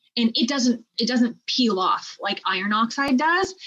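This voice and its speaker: At a moderate pace, a woman talks in an ordinary speaking voice, fairly high in pitch with ordinary pitch variation. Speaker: chemistry teacher. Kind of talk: lecture.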